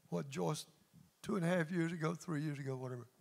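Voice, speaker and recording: This man speaks with a Mississippi accent at a fairly high pitch. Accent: Southern US (Mississippi). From US South, north Mississippi. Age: 70s. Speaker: pastor. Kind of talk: sermon. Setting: church. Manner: animated.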